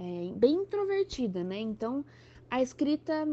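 At a very slow pace, a woman speaks with a fairly high pitch and a dark, mellow tone. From São Paulo state interior, Brazil. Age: 20s. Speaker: author. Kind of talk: podcast interview.

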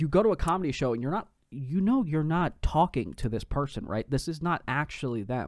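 A man speaks at a fairly quick pace with a fairly high pitch and a plain, everyday voice. The recording is very clean, with a silent background. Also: lively intonation. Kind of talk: casual chat. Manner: profane, joking.

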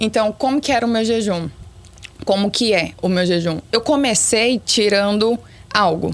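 At a moderate pace and medium pitch, a woman talks with ordinary pitch variation and very even loudness, leaving long, frequent pauses. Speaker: former beauty pageant contestant. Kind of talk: casual chat.

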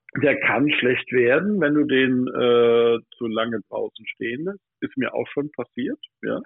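A man speaks very slowly, his medium pitch showing ordinary pitch variation. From Odenwald, southern Hesse, Germany. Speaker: pastry chef. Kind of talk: casual chat. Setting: phone call. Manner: animated.

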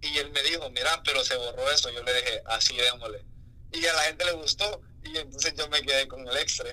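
The man's delivery is fairly brisk. Background noise can be heard clearly. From Honduras, San Pedro Sula. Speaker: music producer. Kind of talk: casual interview.

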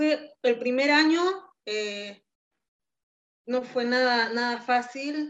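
A woman's high-pitched voice, very slow pace, ordinary pitch variation. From Peru, Tacna. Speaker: emigrant interviewee. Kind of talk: interview. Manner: halting.

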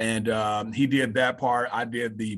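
This man has a Southern US accent and a medium pitch. His intonation is monotone and flat. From Mississippi, US South. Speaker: high school assistant principal and coach. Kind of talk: casual interview.

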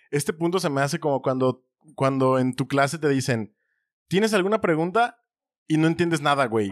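A man with a fairly high pitch speaks at a moderate pace with lively intonation. His loudness is very even, and the sound is dry and close with no echo. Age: 30s. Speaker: podcast co-host. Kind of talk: casual chat.

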